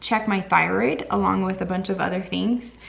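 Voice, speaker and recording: A woman's medium-pitched voice, with ordinary pitch variation, is heard amid clearly audible background noise. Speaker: vlogger. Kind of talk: casual vlog update. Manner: halting.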